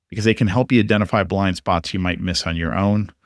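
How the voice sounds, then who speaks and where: Recorded very cleanly against a silent background, a man's fairly low voice comes through dry and close with no echo. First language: not English (English second until teens). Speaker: podcast host and freelance writing coach. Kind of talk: solo podcast monologue; coaching pitch.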